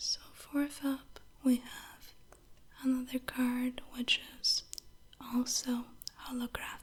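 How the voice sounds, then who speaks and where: A soft-spoken woman with a high pitch talks very slowly in a monotone, flat way, leaving long, frequent pauses amid noticeable background noise. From northern Sweden. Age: 20s. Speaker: ASMR creator. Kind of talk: ASMR show-and-tell.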